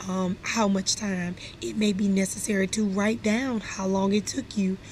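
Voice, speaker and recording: Noticeable background noise accompanies the medium-pitched voice of a woman. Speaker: instructional specialist, former teacher. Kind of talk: training presentation. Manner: loud by nature; animated.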